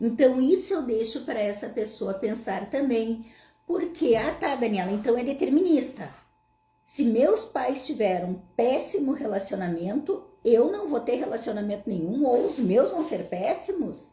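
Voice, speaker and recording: A woman's high-pitched voice with a dark, mellow tone, fairly slow pace and very wide pitch swings, amid audible room echo. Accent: southern Brazilian. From southern Brazil, Passo Fundo, Rio Grande do Sul. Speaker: psychologist / therapist. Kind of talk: live Q&A talk to audience. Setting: online livestream.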